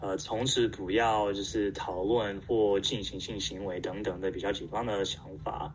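Fairly low in pitch and fairly even in intonation, a man speaks at a fairly slow pace amid audible room echo. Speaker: survey organizer and asexual community volunteer. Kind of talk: interview. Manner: halting.

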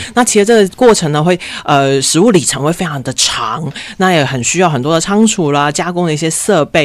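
Over noticeable background noise, a woman speaks at a fairly quick pace in a cheerful tone, her fairly low pitch moving with lively intonation. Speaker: environmental foundation specialist. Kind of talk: radio interview.

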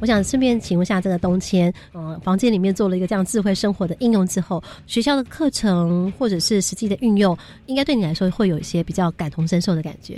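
A woman speaks in a dark, mellow tone. Her pitch is medium, with ordinary variation. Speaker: radio host. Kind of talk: radio interview with students. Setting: radio studio. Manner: lively, frequent laughter.

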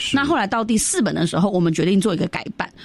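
A woman talks at a medium pitch with lively intonation. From Myanmar, Yunnanese Chinese community. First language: Yunnanese (speaking Chinese). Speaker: cultural organizer. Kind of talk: radio interview.

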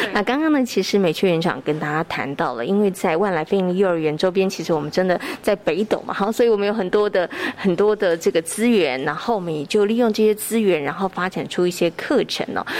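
Over noticeable background noise, a woman with a Taiwanese accent talks very fast at a medium pitch with lively intonation and hardly any pauses. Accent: Taiwanese Mandarin. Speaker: radio host. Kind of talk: radio interview. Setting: studio.

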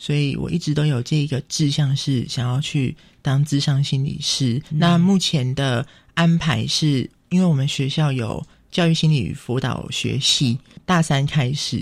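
The man's voice is fairly high and somewhat breathy. He talks at a fairly slow pace with fairly even intonation. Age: 20s. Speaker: visually impaired university student. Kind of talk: radio interview.

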